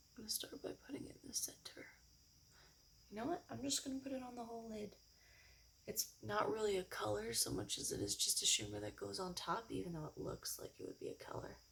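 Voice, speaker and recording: Over noticeable background noise, a soft-spoken woman talks at a very fast pace. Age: 20s. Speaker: ASMR YouTuber. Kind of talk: casual talk to camera.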